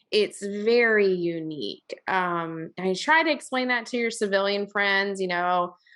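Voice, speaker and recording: With a slight Southern US accent, this bright, sharp voice moves in lively intonation over a very clean recording with a silent background. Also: woman. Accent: slightly Southern. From Virginia. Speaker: podcast host. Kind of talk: podcast interview.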